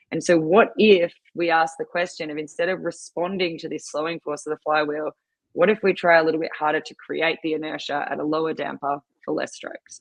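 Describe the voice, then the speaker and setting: Fairly quick and fairly low-pitched, a woman talks in an Australian accent with big swings in loudness. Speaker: rowing and ski erg coach. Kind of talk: podcast interview, casual chat. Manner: animated.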